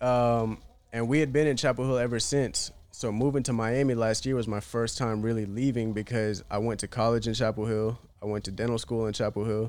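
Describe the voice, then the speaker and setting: A man with a plain, everyday voice talks at a fairly quick pace, at a medium pitch with fairly even intonation. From US South, North Carolina. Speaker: independent musician. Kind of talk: casual chat.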